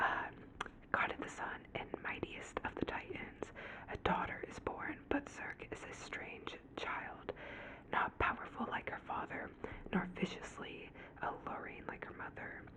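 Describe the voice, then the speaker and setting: Noticeable noise fills the background. Underneath it, a woman whispers fairly slowly. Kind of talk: ASMR whisper ramble about books. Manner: whispered, soft-spoken.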